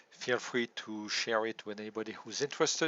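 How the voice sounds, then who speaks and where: A man with a French accent speaks at a moderate pace, his pitch fairly low and his intonation fairly even. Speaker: local resident and policy analyst. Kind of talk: presentation. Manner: formal.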